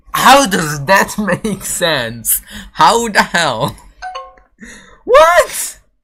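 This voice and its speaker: Music plays in the background. The speech is very slow, with long, frequent pauses. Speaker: gaming streamer. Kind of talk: casual chat.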